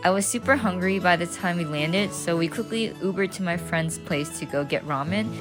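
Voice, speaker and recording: Fairly low female voice over music in the background, fairly quick and lively, with hardly any pauses. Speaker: student and cosplayer. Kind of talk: vlog voiceover narration.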